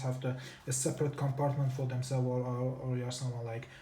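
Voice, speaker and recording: The pace is very fast. The speaker has a non-native accent. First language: not English. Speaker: tech reviewer. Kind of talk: product review. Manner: halting, self-correcting.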